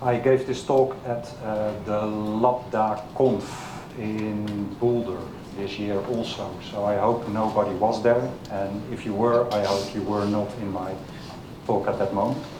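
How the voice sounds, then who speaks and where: With a Dutch accent, a man speaks at a fairly slow pace in a fairly low pitch and monotone, flat intonation. Audible room echo and noticeable background noise surround his voice. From Netherlands. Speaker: software developer, conference speaker. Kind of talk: technical talk. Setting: meetup stage with audience. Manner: halting, many fillers.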